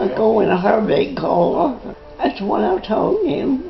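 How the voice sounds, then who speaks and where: Over noticeable background noise, a woman with a Southern Appalachian accent speaks at a very slow pace. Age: 80s+. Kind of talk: casual conversation.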